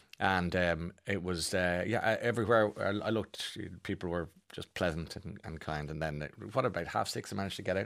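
A man with an Irish accent and a very deep, low pitch, at a fairly quick pace. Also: ordinary pitch variation, very clean recording, silent background. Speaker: radio host. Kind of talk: casual chat.

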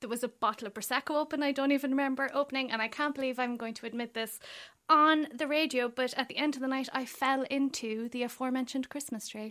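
Her voice is raised and projected, high-pitched, with a bright, sharp tone and a fairly quick pace. The woman is recorded very cleanly against a silent background. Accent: Irish. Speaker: crime writer. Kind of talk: casual radio chat. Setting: studio.

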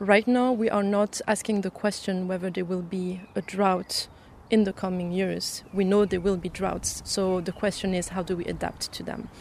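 In a French accent, a woman speaks in a medium pitch with a monotone, flat intonation. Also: moderate pace. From France. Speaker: young farmers' representative. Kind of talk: interview.

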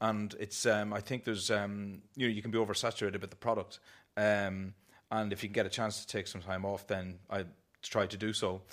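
In an Irish accent, a man with a fairly low pitch speaks at a fairly quick pace on a very clean recording with a silent background. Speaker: artist and author. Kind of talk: panel discussion.

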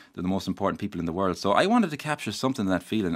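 In a west of Ireland accent, a man with a very deep, low voice speaks very fast on a very clean recording with a silent background. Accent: west of Ireland Irish. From Ireland, County Mayo. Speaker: novelist. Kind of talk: radio interview.

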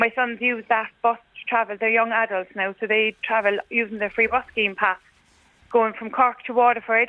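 A woman with an Irish accent speaks at a moderate pace in a fairly high voice, her intonation flat and monotone. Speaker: caller. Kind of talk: casual chat. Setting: phone call.

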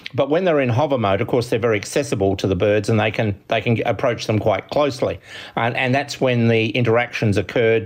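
A man with an Australian accent, medium pitch, very fast pace, very even loudness and ordinary pitch variation. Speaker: ornithologist. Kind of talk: interview. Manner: hesitant, many fillers.

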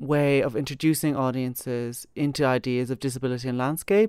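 A woman's very deep, low voice with an Irish accent and fairly even intonation, on a very clean recording with a silent background. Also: dry, close sound with no echo. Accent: Irish (Galway). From Ireland, Galway (Kilcolgan). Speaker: curator and writer. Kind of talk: interview. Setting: gallery.

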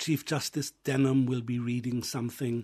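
A man talks at a moderate pace and medium pitch in a dark, mellow, somewhat breathy tone. His intonation is monotone and flat, against a quiet background. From England. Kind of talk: radio interview. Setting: studio.

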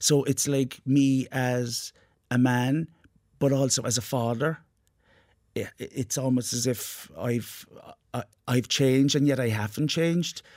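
A man with an Irish accent speaks at a fairly slow pace, his intonation fairly even, with long, frequent pauses. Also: medium pitch for a man. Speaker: actor and playwright. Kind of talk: radio interview. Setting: studio.

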